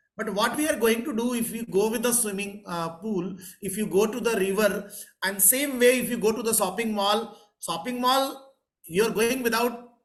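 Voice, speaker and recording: With audible room echo around him, a man speaks at a high pitch with ordinary pitch variation. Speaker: professor and interviewer. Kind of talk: interview. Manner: halting.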